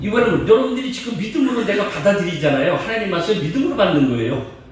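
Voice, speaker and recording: Lively intonation from a man at a high pitch, very fast pace, with noticeable background noise and audible room echo. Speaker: guest preacher. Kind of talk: sermon.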